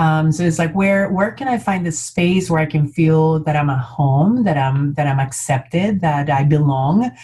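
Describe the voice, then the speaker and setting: With noticeable background noise behind her, a woman speaks at a moderate pace with hardly any pauses, very deep and low in pitch, with ordinary pitch variation. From Colombia, Bogota. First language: Spanish. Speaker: community leader. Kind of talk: panel discussion. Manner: halting, many fillers.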